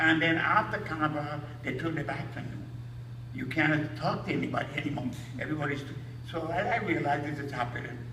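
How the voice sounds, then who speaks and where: Very fast talk with an American accent, audible room echo and noticeable background noise. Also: man, fairly high pitch for a man, ordinary pitch variation. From Trinidad. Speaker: steelpan maker and musician. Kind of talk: lecture. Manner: halting, repeats words.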